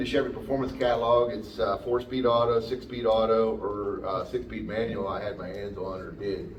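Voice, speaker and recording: In a Pennsylvania accent, a man with a medium-pitched voice speaks at a moderate pace with audible room echo. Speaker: automotive technician and parts rep. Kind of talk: technical seminar talk. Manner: hesitant, many fillers.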